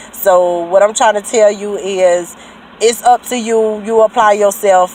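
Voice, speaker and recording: The voice keeps a fairly even intonation over noticeable background noise. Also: woman. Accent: rural Southern US. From US South. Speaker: trucking school graduate vlogger. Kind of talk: casual vlog testimony. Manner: casual, hesitant with fillers.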